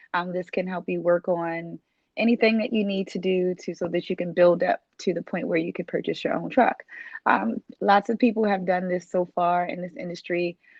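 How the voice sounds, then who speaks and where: At a moderate pace, a woman of medium pitch speaks with ordinary pitch variation. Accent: Baltimore. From US, Baltimore. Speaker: dispatch trainer and business owner. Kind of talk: sales pitch. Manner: casual with frequent fillers.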